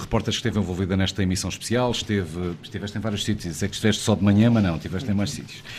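A man speaks at a fairly low pitch. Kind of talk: live radio broadcast discussion. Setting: on location in a wine cellar.

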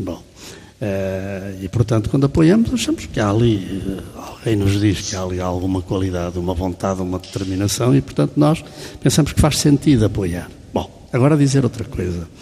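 Noticeable background noise sits under a man's voice. His pitch is fairly low and his intonation lively. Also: moderate pace. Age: 70s. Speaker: banker. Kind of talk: casual chat. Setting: stage with audience.

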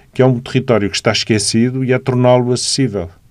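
In a Lisbon accent, a man speaks at a very fast pace with a medium pitch and fairly even intonation. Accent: Lisbon European Portuguese. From Portugal, Lisbon. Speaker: architect and city councillor. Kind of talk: radio interview.

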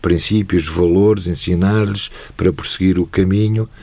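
Here is a man with a fairly low pitch. His tone is dark and mellow. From Portugal, Lisbon. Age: 60s. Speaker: retired judge and football club figure. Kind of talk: interview.

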